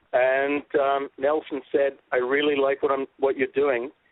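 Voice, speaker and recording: A fairly high-pitched male voice with an Australian accent. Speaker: documentary filmmaker. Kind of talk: casual interview. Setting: radio show. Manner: loud.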